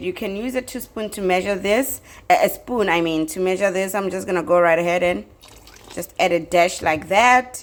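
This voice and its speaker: Lively intonation carries this fairly quick delivery in a South African accent. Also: woman. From South Africa, Limpopo. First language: Tsonga. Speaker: cooking youtuber. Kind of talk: cooking tutorial. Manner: casual, chatty.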